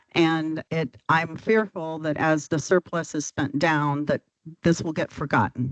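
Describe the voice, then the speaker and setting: Recorded with a dry, close sound and no echo, a woman speaks at a very deep, low pitch and a moderate pace with fairly even intonation. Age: 70s. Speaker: youth shelter director. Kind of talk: public meeting testimony.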